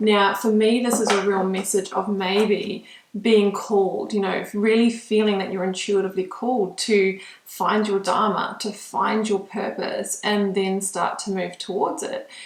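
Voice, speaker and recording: A woman speaks fairly slowly at a medium pitch in a monotone, flat way. Noticeable background noise runs beneath her. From New Zealand. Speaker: tarot reader. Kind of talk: tarot reading to camera; casual personal introduction. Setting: home studio in spare room. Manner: hesitant, many filler ums.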